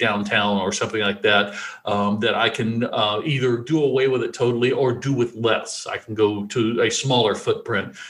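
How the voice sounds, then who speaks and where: A man with an American accent has an ordinary speaking voice. He talks at a medium pitch and a moderate pace. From US South, rural Alabama. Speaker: podcast host, developer. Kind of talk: casual chat.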